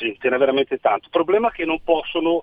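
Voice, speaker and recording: A man talks at a very fast pace. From Emilia-Romagna. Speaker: caller. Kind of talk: radio call-in. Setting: phone call.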